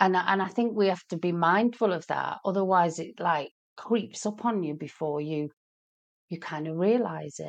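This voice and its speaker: Speaking in a British accent, this woman has a fairly low voice. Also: ordinary pitch variation, moderate pace. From Britain. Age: 50s. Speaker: small business owner. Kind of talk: casual chat.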